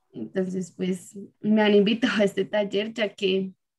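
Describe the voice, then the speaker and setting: Flat, monotone delivery at a fairly slow pace, somewhat breathy. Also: woman. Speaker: workshop participant. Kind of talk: casual group discussion.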